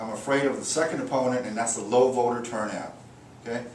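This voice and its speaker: A man with an American accent talks very fast at a medium pitch, with noticeable background noise and audible room echo. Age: 60s. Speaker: political candidate, prosecutor. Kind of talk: campaign speech. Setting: private home gathering. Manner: casual, conversational with fillers.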